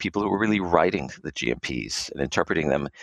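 Vocal fry comes through in a dry, close sound with no echo. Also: man. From Israel and United States. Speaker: pharma quality assurance executive. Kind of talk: interview.

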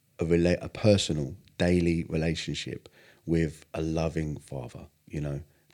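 On a very clean recording with a silent background, a man with a southern English accent speaks at a fairly slow pace in a very deep, low pitch, with a dark, mellow tone and fairly even intonation. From southern England. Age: 40s. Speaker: singer. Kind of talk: casual chat.

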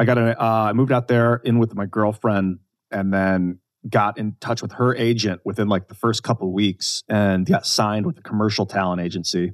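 Recorded with a dry, close sound with no echo over a quiet background, a man with an American accent and an unremarkable speaking voice talks at a fairly quick pace, with a fairly low pitch and fairly even intonation. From US Midwest, Northeast Ohio. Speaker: actor and podcast co-host. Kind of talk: casual interview chat. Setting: podcast recording.

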